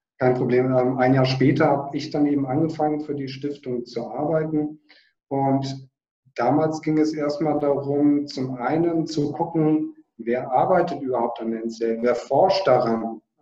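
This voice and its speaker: The man's voice is fairly high in pitch, with a dark, mellow tone. He speaks fairly slowly and his intonation stays fairly even. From northern Germany, Hamburg. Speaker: biochemist, foundation director. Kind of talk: interview.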